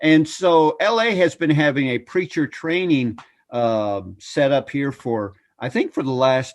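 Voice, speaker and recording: Here is a man with a normal speaking voice. His pitch sits fairly high. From Canada (Ontario, cottage country north of Toronto). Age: 60s. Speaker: preacher, evangelist. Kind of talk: interview.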